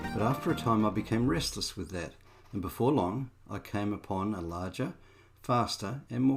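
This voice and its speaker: A man with an Australian accent talks in a fairly low voice. His intonation is lively. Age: 60s. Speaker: amateur boat restorer. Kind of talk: reflective narration.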